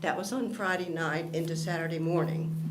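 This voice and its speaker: Over noticeable background noise and audible room echo, a woman talks at a moderate pace with a fairly low pitch and fairly even intonation. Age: 70s. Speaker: member of the public giving comment. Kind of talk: public comment. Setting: county commission meeting, speaking into microphone.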